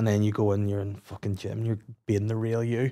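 A man's dark, mellow tone at a fairly low pitch, with fairly even intonation and a moderate pace

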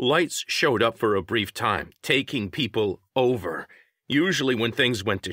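Over a quiet background comes reading aloud in a natural voice, marked by lively intonation.

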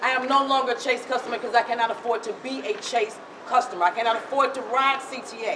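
A woman talks at a fairly quick pace in a raised, projected voice with a high pitch. Background noise is noticeable. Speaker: transit rider activist. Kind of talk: protest speech. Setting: bank lobby protest. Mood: indignant, determined. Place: hall. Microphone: camera far.

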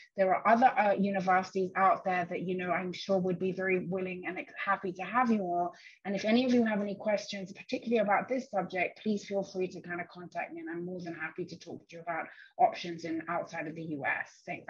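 Using a put-on character voice, a woman speaks very fast at a medium pitch, raspy and with big swings in loudness. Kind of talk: panel discussion remarks. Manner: speaking very fast, rushed. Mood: friendly, helpful.

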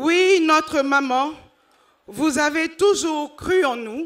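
Very slowly, a woman gets her words out. Her pitch variation is ordinary. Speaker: women's group spokesperson. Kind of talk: ceremonial speech. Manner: emphatic.

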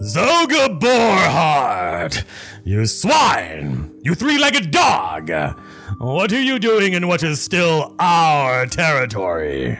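Shouting in a put-on character voice, a man speaks very slowly at a fairly high pitch over clear music in the background. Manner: scolding, hostile.

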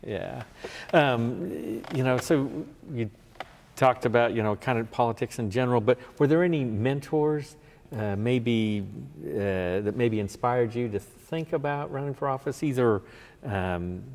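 This man talks at a fairly slow pace, using a medium pitch and ordinary pitch variation. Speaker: oral history interviewer. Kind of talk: interview questions. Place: hall. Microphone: lapel.

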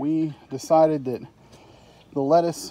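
At a fairly slow pace, a man speaks in a dark, mellow tone with a dry sound and no echo. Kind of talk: casual vlog chat. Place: garden. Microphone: phone near.

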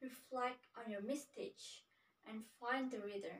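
Using a put-on character voice, a woman speaks fairly slowly in a fairly high pitch, her fairly bright tone carrying a slightly husky edge over fairly even intonation.

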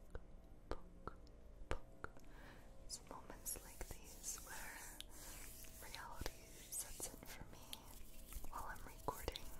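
A woman whispers at a very slow pace. Her speech has long, frequent pauses. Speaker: ASMR creator. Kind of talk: soft-spoken ASMR trigger talk. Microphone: studio mic.

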